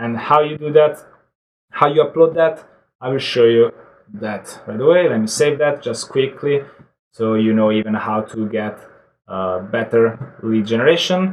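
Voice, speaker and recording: Pitch shifts with ordinary variation. The delivery holds a moderate pace. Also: man, medium pitch for a man. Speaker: online marketing tutorial creator. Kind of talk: screen-share software tutorial. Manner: casual, hesitant with fillers.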